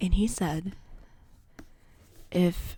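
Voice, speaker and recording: The voice is soft-spoken and somewhat breathy. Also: woman. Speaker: ASMR creator. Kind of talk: ASMR book haul.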